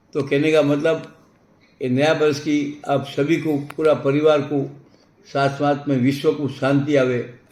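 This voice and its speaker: A man speaks in a fairly high pitch. Audible room echo surrounds his voice. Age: 80s+. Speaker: philanthropist. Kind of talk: interview. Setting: office.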